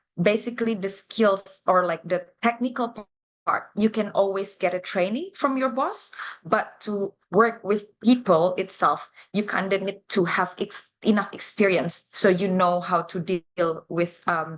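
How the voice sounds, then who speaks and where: Speaking with an Indonesian accent, a woman uses a medium pitch with ordinary pitch variation at a fairly slow pace. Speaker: university international officer. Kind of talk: live interview. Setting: livestream. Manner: hesitant, many fillers.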